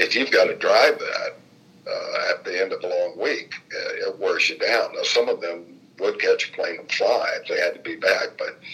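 Here a man speaks with a Midwestern US accent at an extremely high pitch. His intonation stays fairly even. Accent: US Midwest. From Indianapolis, Indiana. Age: 70s. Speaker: former state legislator and funeral director. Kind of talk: oral history interview.

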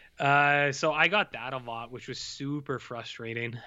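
A man with a Canadian accent has an ordinary speaking voice. His pitch is fairly high, with ordinary pitch variation. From Canada. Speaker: film podcast co-host. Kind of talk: casual chat. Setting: video call.

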